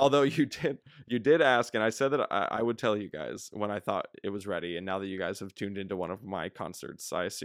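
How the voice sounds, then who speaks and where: A plain, everyday voice speaks at a fairly quick pace with ordinary pitch variation. The recording is very clean, dry and close with no echo, and the background is silent. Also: man. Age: 20s. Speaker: stage performer. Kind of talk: casual chat.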